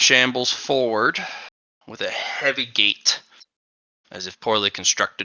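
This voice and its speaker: A man puts on a raspy character voice at a medium pitch, moving at a moderate pace with long, frequent pauses. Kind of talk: dark fantasy horror narration. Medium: actual play.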